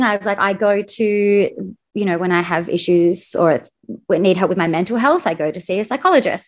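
With ordinary pitch variation and a fairly quick pace, this is an unremarkable speaking voice. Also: woman. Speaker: wedding planner, coaching client. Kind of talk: casual interview chat.

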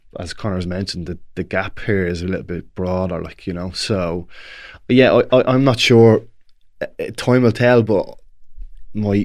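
A man speaks in a Dublin accent with a fairly low pitch and fairly even intonation. His moderate pace comes through on a very clean recording with a silent background. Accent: Dublin Irish. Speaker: Gaelic football player and pundit. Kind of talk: casual chat.

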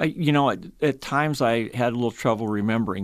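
A man with a Midwestern US accent talks at a very fast pace in a very clean recording with a silent background. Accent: US Midwest. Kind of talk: radio interview. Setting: studio.

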